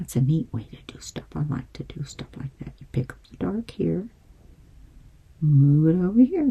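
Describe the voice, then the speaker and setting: This woman has a very deep, low pitch and a dark, mellow tone that is somewhat breathy. Her pitch swings very widely and her loudness rises and falls sharply at a moderate pace. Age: 70s. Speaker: painting instructor. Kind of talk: tutorial. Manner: casual and chatty.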